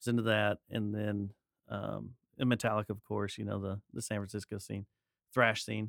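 With an American accent, a man speaks at a moderate pace in a flat monotone, the sound dry and close with no echo. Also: fairly low pitch for a man. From Texas, Dallas-Fort Worth area. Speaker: podcaster and musician. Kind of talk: casual chat.

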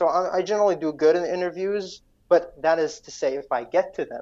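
The speaker has an Iraqi accent. The pitch moves with ordinary variation. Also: man. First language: Iraqi Arabic. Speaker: guest from Iraq. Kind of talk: interview. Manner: halting.

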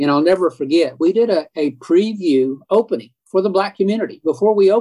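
A fairly quick delivery in an Oklahoma accent, with ordinary pitch variation and a dry, close sound with no echo. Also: man. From Oklahoma, Edmond. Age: 70s. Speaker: historian. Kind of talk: interview.

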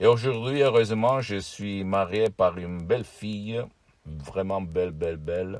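With a fairly low pitch that varies in an ordinary way, a man talks fairly slowly. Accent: Italian. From southern Italy. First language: Italian (speaking French). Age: 50s. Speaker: hypnotherapist. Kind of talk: video monologue. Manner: halting, repetitive.

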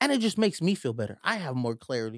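A man uses an ordinary speaking voice with lively intonation at a fairly quick pace, heard as a dry, close sound with no echo on a very clean recording with a silent background. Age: 20s. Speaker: podcast host. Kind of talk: casual chat.

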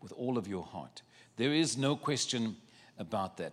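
The man speaks at a medium pitch with vocal fry. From South Africa. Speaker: travelling preacher. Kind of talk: sermon. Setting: church with congregation.

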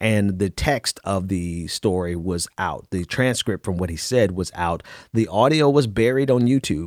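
A normal speaking voice from a man, fairly low in pitch, with lively intonation, a fairly slow pace, and dry, close sound with no echo. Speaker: political podcaster and activist. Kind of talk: casual interview, opinionated. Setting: remote recording from home.

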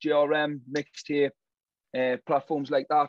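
Here a man with a Geordie accent speaks at a fairly high pitch. He goes at a very slow pace. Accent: Geordie, northeast English. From Newcastle, northeast England. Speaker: drill artist. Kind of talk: casual interview chat.

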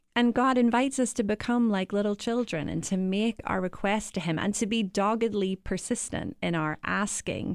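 With an Irish accent, the speaker goes at a moderate pace with ordinary pitch variation in a very clean recording with a silent background. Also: woman, medium pitch for a woman. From Ireland. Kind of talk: conversational discussion. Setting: studio.

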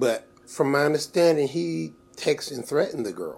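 A man speaks at a moderate pace with vocal fry and very wide pitch swings. The recording is very clean, with a silent background. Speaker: podcast co-host. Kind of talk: casual chat.

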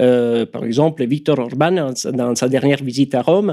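In a strong Italian accent, a man speaks at a moderate pace with a dark, mellow tone and ordinary pitch variation, on a very clean recording with a silent background. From Italy. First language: Italian (speaking French). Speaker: political activist. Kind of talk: radio interview. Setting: studio. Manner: hesitant, many fillers.

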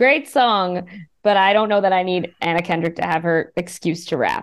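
A woman speaks in an ordinary speaking voice. Her pitch varies in an ordinary way. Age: 30s. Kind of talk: casual chat.

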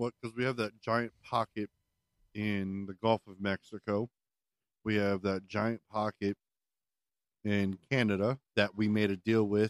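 Monotone, flat intonation in an American accent comes at a fairly slow pace with long, frequent pauses, in a dry, close sound with no echo. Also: man. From Maryland, US. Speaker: podcast co-host. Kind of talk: casual chat.

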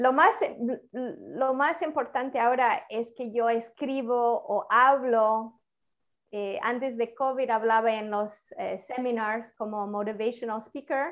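A woman speaks at a high pitch and a fairly slow pace, with ordinary pitch variation. Her loudness swings widely. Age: 50s. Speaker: author. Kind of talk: interview. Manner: halting.

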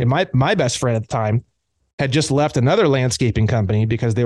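Speaking very fast with an American accent, a man uses a medium pitch and ordinary pitch variation. The background is quiet. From Indiana, US Midwest. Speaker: common law author and activist. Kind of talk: interview conversation.

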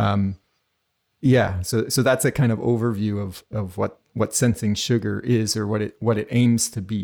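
A man's normal speaking voice, fairly low in pitch, at a moderate pace with fairly even intonation, on a very clean recording with a silent background. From New Brunswick, Canada. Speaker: academic and artist. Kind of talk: interview.

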